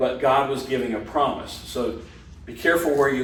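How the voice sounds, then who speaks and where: Noticeable background noise and audible room echo surround the recording. A man speaks at a moderate pace with ordinary pitch variation. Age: 60s. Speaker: Bible study teacher. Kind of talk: class discussion. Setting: church hall class.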